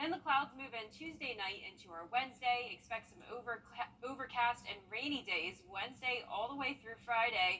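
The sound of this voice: Speaking at a moderate pace with few pauses, a woman has a fairly high pitch, ordinary pitch variation and a bright, sharp tone.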